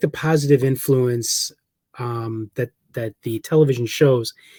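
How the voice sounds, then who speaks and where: Somewhat breathy, a man speaks with a dark, mellow tone in a dry, close sound with no echo. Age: 40s. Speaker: paranormal researcher and author. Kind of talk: casual interview chat.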